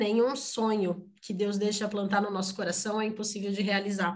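A woman speaks at a fairly slow pace in a fairly high, somewhat breathy voice. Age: 30s. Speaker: mother sharing life story. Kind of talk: interview testimony.

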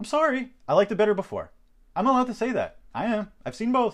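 Speaking in a Canadian accent, a man talks at a very fast pace. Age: 40s. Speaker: sports podcast host. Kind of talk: solo podcast monologue. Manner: halting, many repetitions and fillers.

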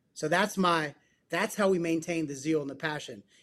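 A man with an ordinary speaking voice, fairly high in pitch, with ordinary pitch variation and a moderate pace. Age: 40s. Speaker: psychotherapist and men's coach. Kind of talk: casual interview chat. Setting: call.

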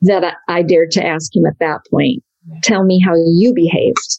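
This woman has a normal speaking voice at medium pitch, moving at a moderate pace with fairly even intonation in a dry, close sound with no echo. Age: 50s. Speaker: blogger and former missionary. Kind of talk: casual interview.

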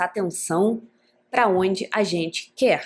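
In an ordinary speaking voice, a woman talks at a fairly slow pace with medium pitch and fairly even intonation. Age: 30s. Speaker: podcast host. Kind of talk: casual solo monologue. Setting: home living room.

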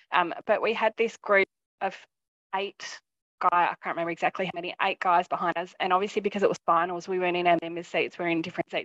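Her intonation fairly even, a woman speaks with an Australian accent. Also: dry, close sound with no echo. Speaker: football fan, IT worker. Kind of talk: casual interview. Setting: video call.

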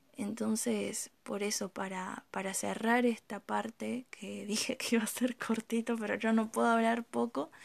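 Over a quiet background, a woman is speaking. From Argentina, Misiones province. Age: 20s. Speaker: amateur poet. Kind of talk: casual vlog monologue.

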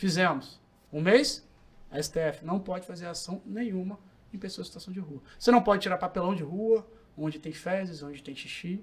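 A man talks at a moderate pace with a high pitch and ordinary pitch variation. His loudness swings widely. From Brazil, Vitória (Espírito Santo). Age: 20s. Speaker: lawyer and public security specialist. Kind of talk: interview.

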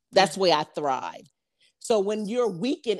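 A woman's plain, everyday voice at medium pitch, with lively intonation, a moderate pace, and a very clean recording over a silent background. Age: 50s. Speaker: podcast co-host and business owner. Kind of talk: casual chat.

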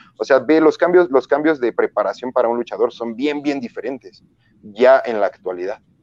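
In a Mexican accent, a man talks at a moderate pace with a fairly high pitch and ordinary pitch variation, the sound dry and close with no echo. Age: 30s. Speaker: professional wrestler. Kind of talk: interview.

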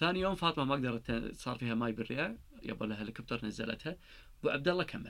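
Speaking at a fairly quick pace, a man uses a normal speaking voice at medium pitch with lively intonation. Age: 30s. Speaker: engineer turned world traveler. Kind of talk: casual interview chat. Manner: frequent Arabic-English code-switching.

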